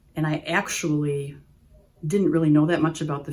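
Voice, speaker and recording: With an Upper Midwest accent, a woman speaks at a moderate pace in a very deep, low, somewhat breathy voice, with a dark, mellow tone and fairly even intonation. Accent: Upper Midwest American. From US Midwest, Wisconsin. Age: 60s. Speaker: patient. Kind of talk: testimonial interview.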